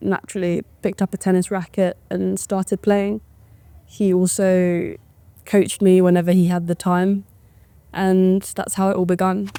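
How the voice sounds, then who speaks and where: On a very clean recording with a silent background, a woman with a British accent speaks at a moderate pace in a dark, mellow tone with medium pitch and monotone, flat intonation. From England, moved to Taiwan at ten. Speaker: professional tennis player. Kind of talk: documentary interview. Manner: casual, with fillers and restarts.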